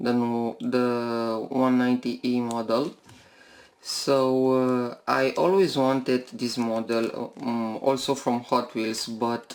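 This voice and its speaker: A non-native accent at a very slow pace. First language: not English. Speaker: toy car collector YouTuber. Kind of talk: unboxing video. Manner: halting, many fillers.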